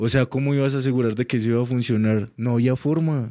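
A dark, mellow tone comes through on a very clean recording with a silent background. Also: man. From Colombia, Cúcuta. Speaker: podcast guest. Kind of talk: casual chat.

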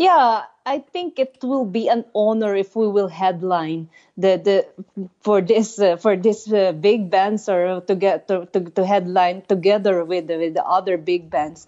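A woman with a Filipino accent, fairly slow pace and ordinary pitch variation. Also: medium pitch for a woman. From Philippines. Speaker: heavy metal musician. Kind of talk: casual chat. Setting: phone call. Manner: halting.

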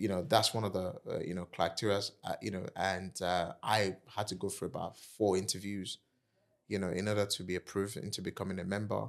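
With a Nigerian accent, a man with a fairly low pitch talks at a fairly quick pace on a very clean recording with a silent background. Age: 40s. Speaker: entrepreneur and property investor. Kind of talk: interview. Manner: animated.

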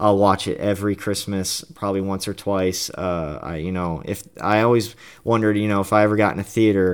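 A man at a fairly quick pace, fairly low in pitch, with monotone, flat intonation, on a very clean recording with a silent background. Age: 20s. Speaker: film review podcaster. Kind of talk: solo film review monologue. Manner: hesitant, many filler words.

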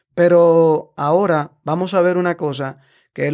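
A man talks at a fairly slow pace with fairly even intonation, in an ordinary speaking voice. The recording is very clean, with a silent background. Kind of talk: casual explanatory interview.

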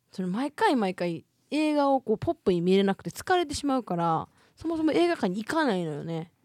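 A woman's fairly high voice in a Kansai accent, fairly quick, with very wide pitch swings on a very clean recording with a silent background. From Hyogo, Japan. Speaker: podcast co-host. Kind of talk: casual chat. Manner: hearty belly laugh.

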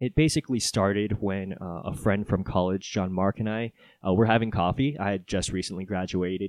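At a fairly quick pace, a man speaks in an unremarkable speaking voice. His pitch is fairly low, with ordinary pitch variation. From Hawaii, Oahu; military childhood incl. Japan, California. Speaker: podcast co-host and guest. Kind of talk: casual interview.

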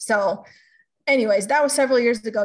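A somewhat breathy woman with an American accent. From California. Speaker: health coach. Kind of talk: podcast interview.

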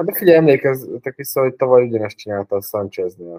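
A man talks fairly quickly at a medium pitch with a dark, mellow tone. The sound is dry and close, with no echo. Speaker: fantasy football player. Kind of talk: casual chat.

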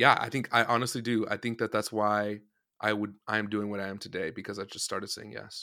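Bright, sharp, fairly low-pitched male voice, fairly quick and monotone with flat intonation, on a very clean recording with a silent background. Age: 20s. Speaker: worship leader and band musician. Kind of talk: casual interview chat.

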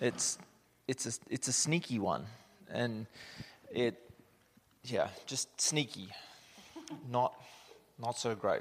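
A man with an Australian accent at medium pitch, very slow pace, ordinary pitch variation, and long, frequent pauses. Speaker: missionary, church speaker. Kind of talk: sermon.

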